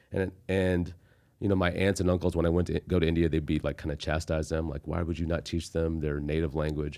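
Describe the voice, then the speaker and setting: A man's very deep, low, dark and mellow voice with an American accent, monotone flat intonation and a fairly quick pace, in a very clean recording with a silent background. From Texas. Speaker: stand-up comedian. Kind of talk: casual chat. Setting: studio.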